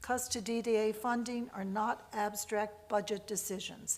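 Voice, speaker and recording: A woman speaks with a fairly high pitch and monotone, flat intonation. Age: 70s. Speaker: parent advocate testifying at budget hearing. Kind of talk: public testimony. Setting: legislative committee hearing. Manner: formal.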